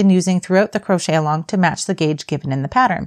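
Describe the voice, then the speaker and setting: The background is quiet while a woman talks. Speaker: crochet teacher. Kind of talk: tutorial.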